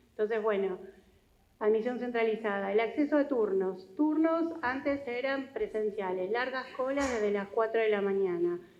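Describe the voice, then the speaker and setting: Loudness stays very even at a moderate pace, with audible room echo. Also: woman, fairly high pitch for a woman, ordinary pitch variation. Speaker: hospital director. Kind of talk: conference presentation.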